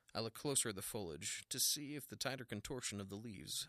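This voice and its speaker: A man with a fairly low pitch speaks at a fairly quick pace, his tone bright and sharp. His voice has vocal fry and very wide pitch swings. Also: dry, close sound with no echo, very clean recording, silent background. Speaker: arborist narrator. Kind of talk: noir detective narration, first-person storytelling. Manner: measured storyteller pacing.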